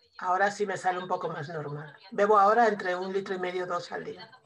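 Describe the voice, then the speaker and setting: A woman with a medium pitch keeps her intonation fairly even while talking at a moderate pace. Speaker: student and case patient. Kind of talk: casual consultation.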